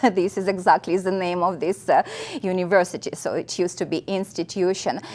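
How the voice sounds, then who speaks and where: A woman talks in a Russian accent at a fairly quick pace. Her pitch is medium and her intonation monotone and flat. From central Russia, Nizhny Novgorod region. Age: 50s. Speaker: college instructor. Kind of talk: interview.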